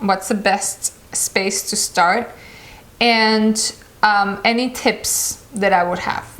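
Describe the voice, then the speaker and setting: A woman with a fairly high pitch, amid noticeable background noise. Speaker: meditation vlogger. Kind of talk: casual talk to camera. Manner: halting.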